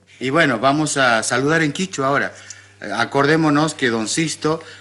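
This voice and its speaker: A man is heard speaking over noticeable background noise. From Argentina, Santiago del Estero (Salavina). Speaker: radio host. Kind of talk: interview.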